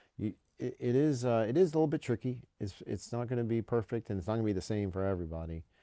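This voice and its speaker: A man talks at a very fast pace in an American accent, with lively intonation and a medium pitch. His tone is dark and mellow, on a very clean recording with a silent background. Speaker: military education official. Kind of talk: podcast interview. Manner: many repetitions and false starts.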